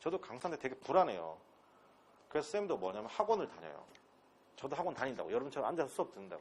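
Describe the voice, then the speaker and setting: A man speaks at a very fast pace. His speech is broken by long, frequent pauses. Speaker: English instructor. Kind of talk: lecture. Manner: animated.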